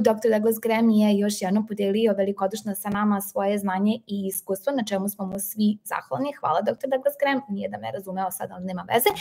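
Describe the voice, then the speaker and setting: A woman's fairly high voice at a very fast pace, hardly any pauses, ordinary pitch variation, big swings in loudness, and noticeable background noise. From Serbia. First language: Serbian. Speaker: health educator and live stream host. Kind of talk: live stream interview and wrap-up. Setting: video call live stream.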